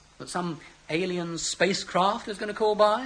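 A man with a high pitch speaks in a raised, projected voice against noticeable background noise. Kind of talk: sci-fi audio drama, earnest dialogue. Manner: animated, emotionally urgent, arguing.

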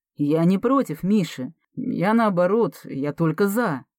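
This is reading aloud in a natural voice with lively intonation. The background is quiet.

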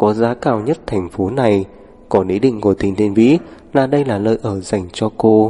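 Reading aloud in a natural voice, pitch varying in an ordinary way

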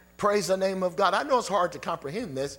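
Over music in the background, a man talks at a fairly quick pace in an animated tone with lively intonation. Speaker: preacher. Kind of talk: sermon. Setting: church with congregation. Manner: animated, call-and-response preaching with crowd prompts like "say amen"; emphatic, rhetorical questions, repeated "Hello?" for emphasis.

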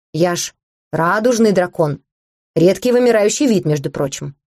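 The intonation is lively in this unforced reading voice. Nothing much sounds in the background.

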